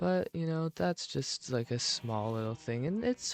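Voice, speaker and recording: Recorded with a dry, close sound and no echo, a soft-spoken man talks fairly slowly while his pitch swings very widely. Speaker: ASMR creator. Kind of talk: soft-spoken gaming ASMR talk.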